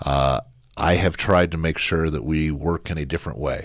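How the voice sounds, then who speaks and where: A man's very deep, low voice with vocal fry, fairly quick and fairly even in intonation. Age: 60s. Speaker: politician. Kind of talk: interview.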